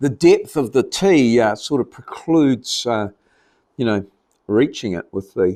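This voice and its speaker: A dark, mellow tone with a New Zealand accent. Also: man, medium pitch for a man, lively intonation, fairly slow pace. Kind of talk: casual talk to camera. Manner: rambling, relaxed.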